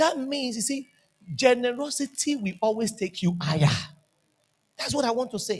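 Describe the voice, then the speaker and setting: A man with a Nigerian accent, extremely high in pitch, animated in tone and lively in intonation, at a moderate pace with long, frequent pauses. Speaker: pastor. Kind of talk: sermon.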